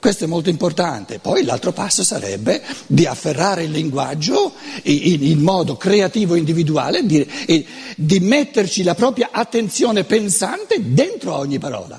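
A man with a Lombard accent, high pitch and very wide pitch swings at a moderate pace, with noticeable background noise. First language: Lombard dialect (speaking Italian). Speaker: lecturer on philosophy. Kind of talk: lecture.

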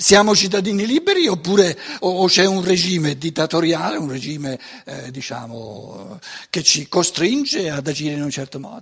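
A high-pitched man talks at a moderate pace with very wide pitch swings and big swings in loudness. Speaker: lecturer on philosophy. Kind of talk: lecture. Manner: halting, many fillers.

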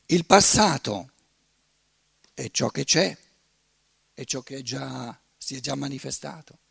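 At a very slow pace, a man with vocal fry and a medium pitch uses lively intonation and big swings in loudness, leaving long, frequent pauses in a dry, close sound with no echo. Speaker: lecturer. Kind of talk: lecture. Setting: conference with live audience.

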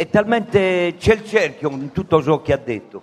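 A man is speaking. His pace is very slow. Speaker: audience member. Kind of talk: audience question. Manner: loud; halting.

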